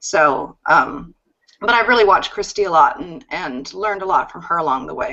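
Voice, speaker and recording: Speaking at a moderate pace, a woman with vocal fry and a medium pitch swings her pitch very widely and her loudness by a lot. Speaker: network marketing distributor. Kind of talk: interview.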